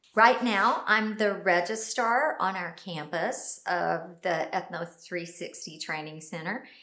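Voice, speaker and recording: A woman speaks very slowly with ordinary pitch variation. There is audible room echo and a quiet background. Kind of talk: interview answer. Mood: friendly, smiling. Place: office.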